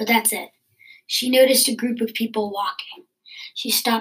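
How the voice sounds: Against a quiet background, this natural reading voice keeps a fairly even intonation.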